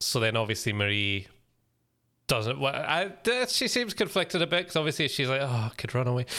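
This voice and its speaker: A man with a bright, sharp tone speaks fairly quickly with very wide pitch swings in a very clean recording with a silent background. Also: medium pitch for a man. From UK. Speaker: podcast host. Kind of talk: casual chat.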